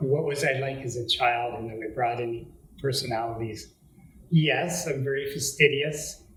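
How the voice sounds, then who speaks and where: Speaking with a Canadian accent, a man keeps a moderate pace, medium pitch and fairly even intonation, with audible room echo. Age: 60s. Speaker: interviewee on aging. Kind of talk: interview answers, storytelling. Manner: casual, conversational.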